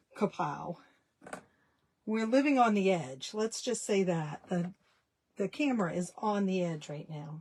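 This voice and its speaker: A woman's somewhat breathy voice at medium pitch, fairly slow and broken by long, frequent pauses, with lively intonation. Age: 60s. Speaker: small business owner, dressmaker. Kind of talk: live stream chat. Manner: casual, halting with fillers.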